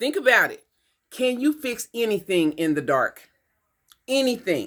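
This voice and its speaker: With an American accent and an animated tone, a woman speaks at a high pitch with very wide pitch swings and big swings in loudness. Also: fairly slow pace. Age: 70s. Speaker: vlogger. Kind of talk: opinion monologue.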